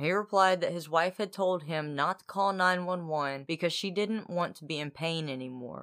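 At a moderate pace, a woman with a fairly low pitch and ordinary pitch variation talks with hardly any pauses. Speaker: podcast co-host. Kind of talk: casual storytelling chat.

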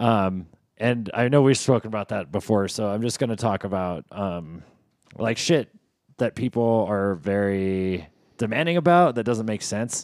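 A man with an ordinary speaking voice, fairly low pitch and lively intonation at a moderate pace, in a very clean recording against a silent background. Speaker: podcast co-host, bartender.

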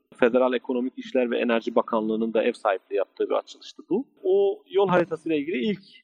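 A man talks at a very fast pace with very wide pitch swings. Music plays in the background. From Turkey (Muş, Ankara). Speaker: computer and electronics engineer. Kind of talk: interview guest, telling career story. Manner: formal.

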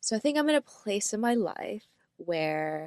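The woman's voice sounds dry and close with no echo, set against a quiet background. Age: 30s. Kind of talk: casual chat. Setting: remote recording between cities. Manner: calm, even pitch; sometimes speeds up.

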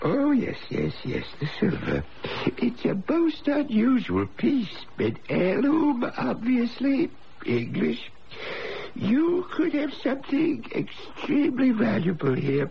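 A man puts on a character voice at an extremely high pitch. He speaks at a fairly slow pace. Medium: old radio play. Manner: polite, hesitant.

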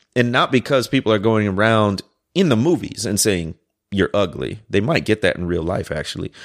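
An American-accented man with an ordinary speaking voice, fairly low pitch, lively intonation and a fairly quick pace, dry and close with no echo on a very clean recording with a silent background. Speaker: podcast co-host, teacher. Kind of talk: casual conversation podcast.

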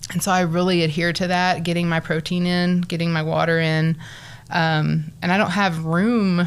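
A woman with a West Texas accent, fairly low-pitched, flat and monotone, at a moderate pace. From Texas Panhandle, Borger. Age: 40s. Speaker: bariatric surgery patient and social worker. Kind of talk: interview.

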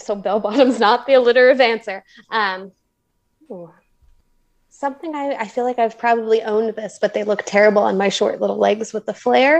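A woman with an American accent talks in an ordinary speaking voice at a fairly quick pace, fairly high in pitch with ordinary pitch variation. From New Jersey. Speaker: physics professor, trivia contestant. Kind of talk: casual game-show chat.

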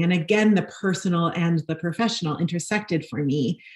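With noticeable background noise behind her, a woman with an American accent speaks at a fairly quick pace, her fairly low pitch carried by lively intonation. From New York (Brooklyn). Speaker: nonprofit housing executive. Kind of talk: interview.

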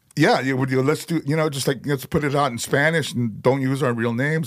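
A man speaks in an ordinary speaking voice with an American accent, at medium pitch and a fairly quick pace, with ordinary pitch variation. The recording is very clean, with a silent background. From Chicago, US. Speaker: metal vocalist. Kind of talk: casual chat. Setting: in-person studio interview.

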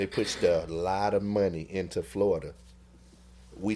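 The recording is very clean with a silent background. The voice belongs to a man. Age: 40s. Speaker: HIV testing unit manager and podcaster. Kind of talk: casual chat.

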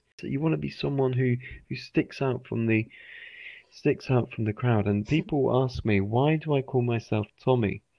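A man speaks with a British accent at medium pitch. His pace is moderate. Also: ordinary pitch variation. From England. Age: 30s. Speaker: English teacher. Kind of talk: interview. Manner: halting, repetitive.

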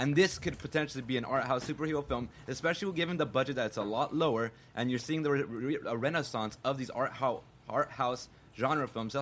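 A man talks at a fairly quick pace in an unremarkable speaking voice with ordinary pitch variation. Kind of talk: casual chat.

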